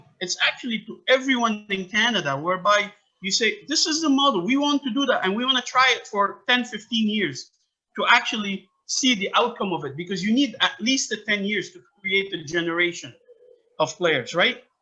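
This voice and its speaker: This man's raised, projected voice sits high in pitch, moving at a moderate pace with lively intonation. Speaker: soccer academy founder and coach. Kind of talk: interview. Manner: loud; animated.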